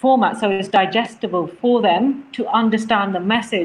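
A woman speaks in a fairly high voice that is somewhat breathy. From England, Leicester. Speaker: charity worker. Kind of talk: interview.

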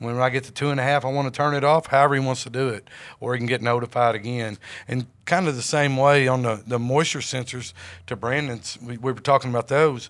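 A man with a Southern US accent speaks at a very fast pace with fairly even intonation, on a very clean recording with a silent background. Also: medium pitch for a man. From Jonesboro, Arkansas. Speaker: sales executive. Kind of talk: podcast interview.

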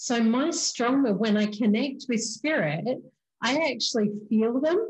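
A woman with an Australian accent talks at a very slow pace in a somewhat breathy voice. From Queensland, Australia. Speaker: spiritual medium podcast host. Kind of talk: casual interview chat.

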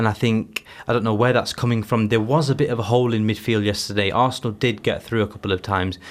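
Very clean and silent in the background, the recording has a man with an unremarkable speaking voice, a fairly low pitch and fairly even intonation. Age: 20s. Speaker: football fan. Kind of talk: casual chat.

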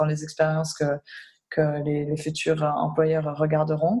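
This woman's voice sits at a very deep, low pitch, somewhat breathy with a dark, mellow tone. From Switzerland. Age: 20s. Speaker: humanitarian worker. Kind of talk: interview. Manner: halting.

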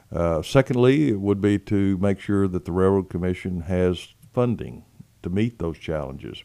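A man with a West Texas accent speaks at a moderate pace in a very deep, low voice with a dark, mellow tone. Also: ordinary pitch variation. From West Texas, San Angelo. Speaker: state legislator. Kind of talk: interview. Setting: studio. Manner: hesitant, many fillers.

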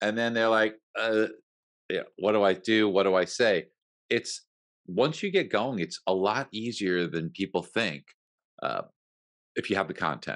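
Against a quiet background, a man with a fairly low pitch and ordinary pitch variation talks at a moderate pace, leaving long, frequent pauses. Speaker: mortgage industry expert. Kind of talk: live webinar talk.

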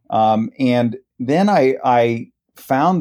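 A dark, mellow tone with a Midwestern US accent. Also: man. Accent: US Midwest. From Columbus, Ohio (Worthington). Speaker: nonprofit director. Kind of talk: radio interview.

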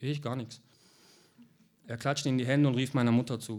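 At a fairly quick pace, a man talks at medium pitch. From Heilbronn, southwest Germany. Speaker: author. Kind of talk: reading aloud.

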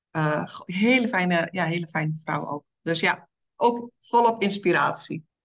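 A woman with a fairly low pitch talks at a fairly slow pace with ordinary pitch variation. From eastern Netherlands. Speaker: women's coach. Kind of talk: interview.

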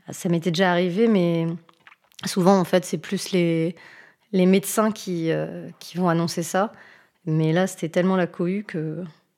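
With long, frequent pauses, a woman speaks fairly slowly in a fairly low pitch, her dark, mellow tone held to a monotone, flat intonation. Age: 40s. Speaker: nurse. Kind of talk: testimony. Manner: hesitant, many fillers.

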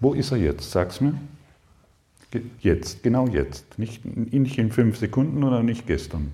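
Speaking at a very slow pace with long, frequent pauses, a man with a dark, mellow tone and vocal fry makes very wide pitch swings. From southern Germany, Lake Constance. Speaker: spiritual seminar teacher. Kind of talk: spiritual workshop talk. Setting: seminar room with live audience. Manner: animated.

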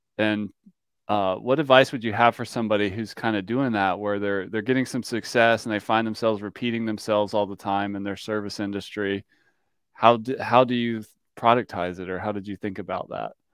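Over a quiet background, a man with an unremarkable speaking voice and fairly low pitch talks at a fairly quick pace, his intonation fairly even but his loudness swinging widely. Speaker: podcast host and software company co-founder. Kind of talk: interview podcast.

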